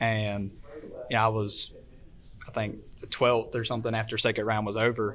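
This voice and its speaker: With an American accent, a man talks at a moderate pace and medium pitch in a monotone, flat intonation, leaving long, frequent pauses. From Florida, US South. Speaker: kart racer. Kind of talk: casual chat. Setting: live show at a race event with audience.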